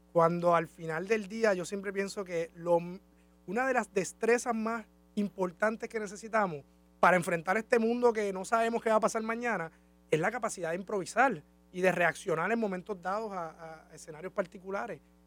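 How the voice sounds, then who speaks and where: Here is a man with a high pitch. He talks at a moderate pace with ordinary pitch variation. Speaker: university department director and interviewer. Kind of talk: interview. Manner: hesitant, many fillers.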